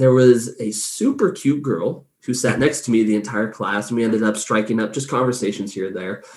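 In an Inland Northwest accent, the speaker goes at a fairly quick pace with hardly any pauses and ordinary pitch variation. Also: man, medium pitch for a man. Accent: American (Inland Northwest). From US, northern Idaho. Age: 20s. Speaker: podcast host. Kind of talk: casual interview chat. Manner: animated, laughing often.

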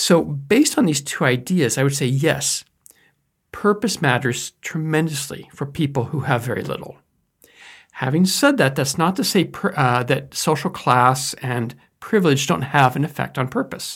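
A man with a fairly high pitch and ordinary pitch variation talks at a moderate pace in a somewhat breathy voice, on a very clean recording with a silent background. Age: 50s. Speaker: educator on life purpose. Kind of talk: lecture.

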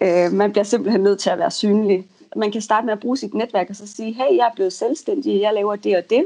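This woman has an ordinary speaking voice with a fairly high pitch. She keeps a moderate pace and ordinary pitch variation. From Denmark, North Jutland. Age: 20s. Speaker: freelance copywriter. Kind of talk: interview. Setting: Skype call. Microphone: choppy connection.

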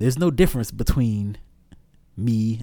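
A man with an American accent, a dark, mellow tone, ordinary pitch variation and a moderate pace. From Augusta, Georgia (US South). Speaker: opera singer and music professor. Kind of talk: casual interview. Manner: halting, many fillers.

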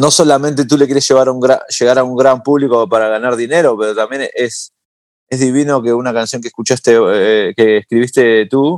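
A man has an ordinary speaking voice at medium pitch with ordinary pitch variation. He speaks at a moderate pace in a dry, close sound with no echo. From Uruguay (Montevideo), moved to New York as a teen. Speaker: singer-songwriter and musician. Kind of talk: interview conversation.

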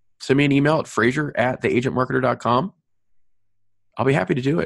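Against a quiet background, a man's medium-pitched voice shows vocal fry and ordinary pitch variation, with a dry, close sound and no echo. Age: 40s. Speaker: podcast host, mortgage marketer. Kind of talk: solo podcast monologue. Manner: animated.

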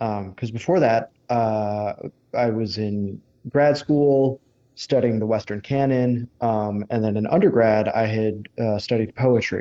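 An ordinary speaking voice from a man with an American accent, medium pitch, fairly even intonation and a fairly slow pace. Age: 30s. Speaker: energy writer and researcher. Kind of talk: interview.

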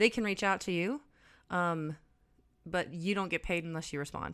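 In a very clean recording with a silent background, a woman speaks at a moderate pace with a fairly low pitch and ordinary pitch variation. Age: 30s. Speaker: ex-cult member. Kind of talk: casual chat.

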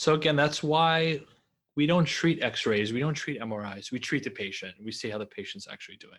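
An ordinary speaking voice from a man with an American accent, fairly high in pitch, at a fairly quick pace, with lively intonation, big swings in loudness and a quiet background. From New York. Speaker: orthopedic surgeon. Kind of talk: interview.

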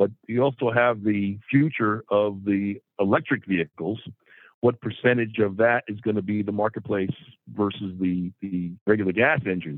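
With an American accent, an ordinary speaking voice talks at a moderate pace with ordinary pitch variation. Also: man, fairly low pitch for a man. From New Jersey. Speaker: car dealership president. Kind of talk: casual interview.

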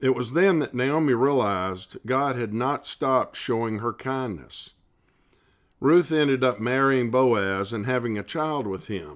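A man's medium-pitched voice at a fairly slow pace with ordinary pitch variation, in a very clean recording with a silent background. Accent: Southern US. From US South, South Carolina (Columbia). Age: 60s. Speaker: lay Bible study leader. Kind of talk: devotional Bible study reflection.

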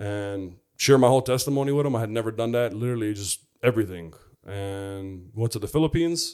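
Speaking very fast with an American accent, a man shows ordinary pitch variation in a very clean recording with a silent background. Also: medium pitch for a man. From US Midwest, Chicago. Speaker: former football player. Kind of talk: testimony.

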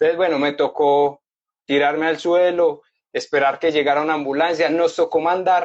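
A fairly high-pitched man with an Antioquian accent, fairly even intonation and a fairly quick pace. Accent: Colombian paisa Spanish. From Colombia, Medellín. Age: 30s. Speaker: motorcycle traveler. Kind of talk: interview, casual storytelling.

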